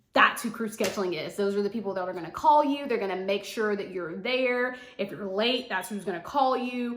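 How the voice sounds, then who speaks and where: A woman talks at a moderate pace with a medium pitch and ordinary pitch variation. Her tone is bright and sharp, and the room echo is audible. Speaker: flight attendant vlogger. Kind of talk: casual vlog tutorial.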